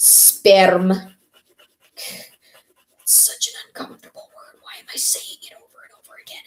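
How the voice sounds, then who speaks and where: In a put-on character voice, someone whispers in a strained way at a moderate pace, leaving long, frequent pauses. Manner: whispering.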